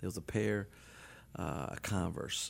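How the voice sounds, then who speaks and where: Here a man talks with a very deep, low pitch. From New Orleans, Louisiana. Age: 50s. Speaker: business owner and publisher. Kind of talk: interview conversation. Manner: energetic.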